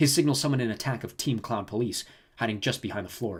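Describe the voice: The passage is simply read out loud. Its pitch rises and falls in an ordinary way.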